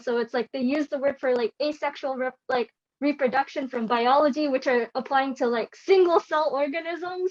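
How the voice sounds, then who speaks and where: A woman's high-pitched voice, dry and close with no echo. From Canada. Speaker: panelist. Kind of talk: panel discussion.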